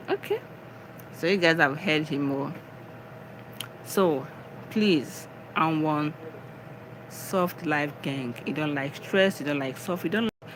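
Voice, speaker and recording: The speaker has a Nigerian accent and talks at a very slow pace. Long pauses come frequently. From Nigeria, Ebonyi state. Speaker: live streamer, spiritual and wellness talk. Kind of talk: casual live stream talk, motivational. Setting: live stream. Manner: animated.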